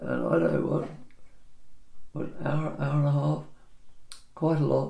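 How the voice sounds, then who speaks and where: A man speaks at a fairly slow pace, leaving long, frequent pauses. Audible room echo and noticeable background noise surround him. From England. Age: 80s+. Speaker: property surveyor. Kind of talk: casual chat.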